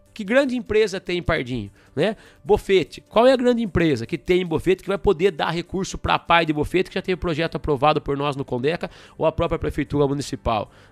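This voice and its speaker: Music plays in the background as a man talks at a very fast pace with lively intonation and a high pitch. The sound is dry and close, with no echo. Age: 40s. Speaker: state politician. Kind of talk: radio interview. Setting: studio.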